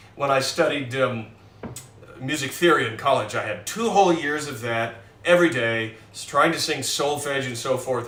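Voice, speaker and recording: A man with an American accent speaks at a moderate pace, with noticeable background noise and audible room echo. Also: big swings in loudness. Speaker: pianist. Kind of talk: casual chat. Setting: live stream from home. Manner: halting.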